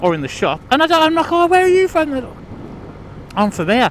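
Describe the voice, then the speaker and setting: Very wide pitch swings mark a man's speech over noticeable background noise. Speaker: vlogger. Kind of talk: casual vlog monologue. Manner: rambling, halting. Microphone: muffled audio from inside helmet.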